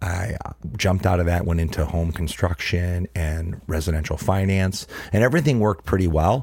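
At a moderate pace, a man with a very deep, low pitch and ordinary pitch variation speaks over noticeable background noise. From Ohio, Cleveland. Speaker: handbag brand founder. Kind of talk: casual interview. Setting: live recording in a trailer. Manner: animated.

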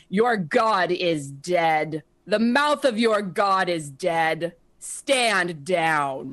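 A female-sounding, booming put-on character voice at a medium pitch. It moves at a very slow pace. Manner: commanding, intimidating.

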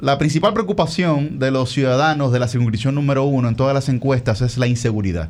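At a very fast pace, a medium-pitched man talks with lively intonation. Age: 20s. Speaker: congressional candidate. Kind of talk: interview.

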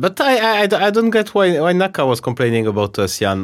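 Speaking with a French accent, a man goes at a very fast pace. His pitch swings very widely. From France. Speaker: chess grandmaster and podcast host. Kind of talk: casual chat. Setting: video call.

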